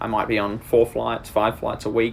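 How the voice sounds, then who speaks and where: A man speaks in an Australian accent at a moderate pace. His pitch is fairly low. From Australia, rural Queensland. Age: 20s. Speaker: agtech business development lead. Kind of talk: career profile monologue.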